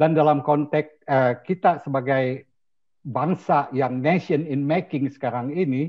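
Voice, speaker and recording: Over a quiet background, a man talks at a fairly slow pace. His pitch is fairly high and his intonation fairly even. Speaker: statistician; webinar presenter. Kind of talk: online academic presentation. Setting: video call. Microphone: video call.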